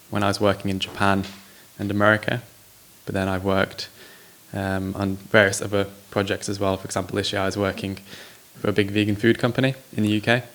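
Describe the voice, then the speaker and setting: Noticeable background noise sits behind a man with an English accent and a fairly low voice. He talks very fast but with long, frequent pauses, in a monotone, flat delivery. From England. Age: 20s. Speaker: social entrepreneur. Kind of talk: interview.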